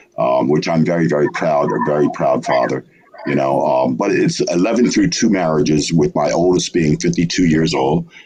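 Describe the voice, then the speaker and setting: Noticeable background noise sits behind a man speaking at a moderate pace with very even loudness. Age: 70s. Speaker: poet and publisher. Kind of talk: interview. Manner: hesitant, many fillers.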